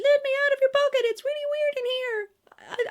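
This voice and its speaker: A put-on character voice, pitched extremely high, at a moderate pace. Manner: shouting.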